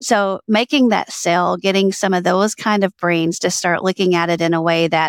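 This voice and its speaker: In a very clean recording with a silent background and a dry, close sound with no echo, a woman with a plain, everyday voice and an American accent speaks fairly quickly at a fairly low pitch with fairly even intonation. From US South, Alabama. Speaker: author and workplace culture consultant. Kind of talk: interview.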